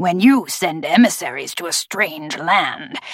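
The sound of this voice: A woman speaks in a put-on character voice, low-pitched and gravelly with a slightly husky edge. Her pace is fairly slow and her intonation lively.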